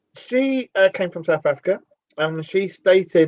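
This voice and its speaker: Speaking in a London accent, a man with a high pitch and lively intonation keeps a moderate pace in a dry, close sound with no echo. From northern England, Cheshire (Sale, Timperley). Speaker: radio show host. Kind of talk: casual chat.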